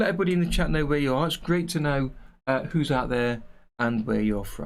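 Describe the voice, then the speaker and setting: A man with an English accent and a fairly high pitch talks at a very fast pace with lively intonation. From English Midlands, near Nottingham. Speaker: animation tutor and streamer. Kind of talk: casual livestream chat. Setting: livestream.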